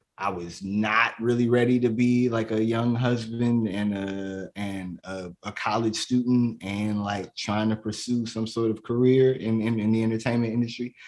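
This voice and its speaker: Speaking fairly slowly in a Chicago accent, a man keeps a medium pitch and a monotone, flat intonation. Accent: Chicago American. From south suburbs of Chicago. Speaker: comedian and poet. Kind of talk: casual interview chat.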